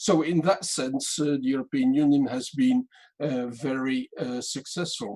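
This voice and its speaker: Recorded with a dry, close sound and no echo, a man speaks in a dark, mellow tone at a fairly slow pace. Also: fairly high pitch for a man, ordinary pitch variation. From Belgium. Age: 60s. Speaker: political party moderator. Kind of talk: panel moderation. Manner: hesitant, many fillers.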